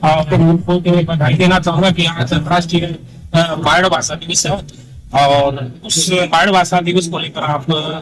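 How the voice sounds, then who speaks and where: A man with a high pitch and fairly even intonation, over noticeable background noise. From Rajasthan. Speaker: news reporter. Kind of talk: news interview. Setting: outdoors at a farm fair. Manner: halting with fillers.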